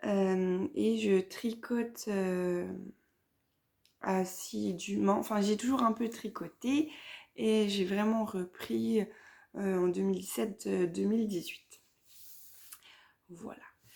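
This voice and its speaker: Speaking at a very slow pace with long, frequent pauses, a woman uses a medium pitch that swings very widely. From Vosges, north-eastern France. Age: 30s. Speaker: knitting podcaster. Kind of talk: casual vlog chat. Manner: hesitant, many fillers.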